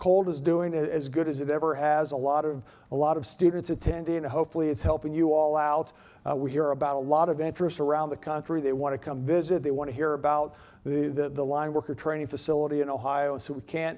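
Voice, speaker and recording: A man's fairly high voice, dark and mellow in tone, monotone and flat in intonation, at a very fast pace over a quiet background. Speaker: utility cooperative CEO giving keynote address. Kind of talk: conference speech. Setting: stage with audience. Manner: hesitant with filler words and repetitions.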